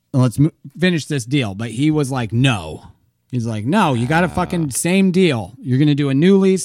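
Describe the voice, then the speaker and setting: Over background music, a man with a fairly high pitch and lively intonation speaks at a moderate pace. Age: 30s. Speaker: podcast host. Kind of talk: casual chat. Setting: home recording.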